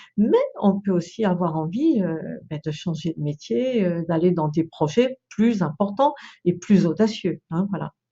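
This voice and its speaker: A woman with a fairly low pitch speaks at a fairly slow pace. Her voice is somewhat breathy, with lively intonation. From France, Brittany countryside. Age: 60s. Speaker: feng shui consultant and trainer. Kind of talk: video presentation. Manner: hesitant, many fillers.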